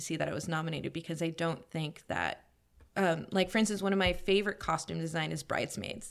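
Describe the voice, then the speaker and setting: A woman with an American accent speaks in a normal speaking voice, fairly low in pitch with fairly even intonation, on a very clean recording with a silent background. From New York, Queens. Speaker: costume designer. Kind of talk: casual chat.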